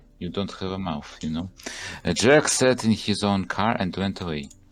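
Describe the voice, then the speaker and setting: Over music in the background, a man with a very deep, low pitch and a non-native accent speaks with ordinary pitch variation. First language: not English. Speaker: game developer and let's play host. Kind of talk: let's play reading game text aloud. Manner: halting.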